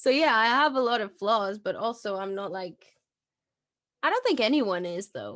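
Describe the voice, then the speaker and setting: A woman speaks with a non-native accent and a fairly high pitch. Her loudness swings widely. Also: lively intonation, moderate pace. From Portugal, small town. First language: not English. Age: 20s. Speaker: podcast host and independent artist. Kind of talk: casual chat.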